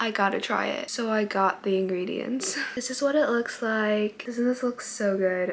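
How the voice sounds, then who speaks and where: A woman talks at a moderate pace in a fairly high voice with ordinary pitch variation and hardly any pauses. Noticeable background noise runs behind her. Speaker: lifestyle vlogger. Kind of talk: casual vlog.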